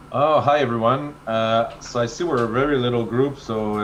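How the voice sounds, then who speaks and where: With fairly even intonation, a man talks at a moderate speed in a medium pitch. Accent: French. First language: French. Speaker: marketing expert. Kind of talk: webinar presentation.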